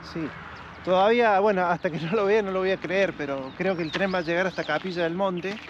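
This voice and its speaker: In a dry recording with no echo and light background noise, a man talks at a fairly quick pace, his voice high for a man and his intonation fairly even. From Argentina. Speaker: railway enthusiast; local guide or railway enthusiast. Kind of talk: casual chat. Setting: outdoors. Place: open country.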